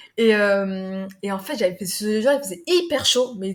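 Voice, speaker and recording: A woman's voice with lively intonation. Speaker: sales director and business leader. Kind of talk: podcast interview. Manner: fast; halting, stumbling.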